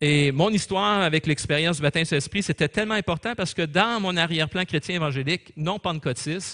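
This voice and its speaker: A man talks very fast at a high pitch, with hardly any pauses. His tone is bright and sharp, and the sound is dry and close with no echo. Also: ordinary pitch variation. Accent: Quebec. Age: 60s. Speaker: pastor. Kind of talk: sermon.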